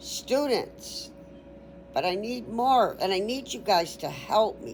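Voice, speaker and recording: A woman speaks at a very slow pace with lively intonation and vocal fry. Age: 60s. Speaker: YouTuber teaching an informal biology class. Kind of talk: casual sign-off to viewers; informal online class reading and commenting on a text. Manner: chatty, conversational.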